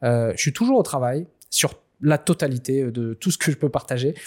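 A man speaks in a plain, everyday voice at a fairly high pitch with ordinary pitch variation. The recording is very clean and dry, close with no echo, over a silent background. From Réunion. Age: 30s. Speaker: author and speaker on spirituality. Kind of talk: interview.

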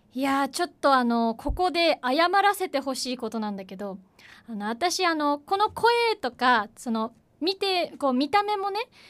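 Her voice is high-pitched, with very wide pitch swings. The woman keeps a moderate pace. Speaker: announcing student. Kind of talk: casual chat.

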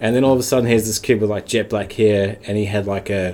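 In a New Zealand accent, a man speaks with fairly low pitch, fairly even intonation and a dark, mellow tone. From New Zealand (Wellington). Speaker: bar owner and former pro snowboarder. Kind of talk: casual chat.

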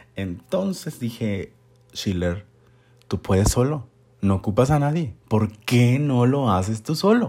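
A man speaks at a very slow pace in a dark, mellow tone. His pitch sits in the medium range, with lively intonation. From Mexico, Monterrey, Nuevo León. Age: 30s. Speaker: podcast host, photographer. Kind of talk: casual podcast intro monologue.

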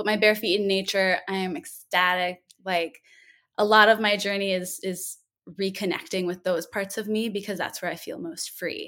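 On a very clean recording with a silent background, a woman talks at a moderate pace in a bright, sharp tone. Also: medium pitch for a woman, fairly even intonation. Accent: American. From Minnesota, US Midwest. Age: 20s. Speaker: yoga and breathwork teacher. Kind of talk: casual interview.

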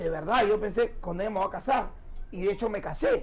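In a Peruvian accent, a man speaks in a high voice with ordinary pitch variation. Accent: Peruvian Spanish (Lima). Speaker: radio host and magician. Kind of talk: casual interview chat.

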